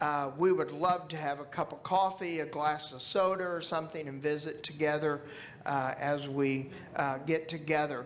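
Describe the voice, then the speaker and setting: The man talks at a moderate pace. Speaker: church pastor. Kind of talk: church announcements. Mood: warm, friendly. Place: church.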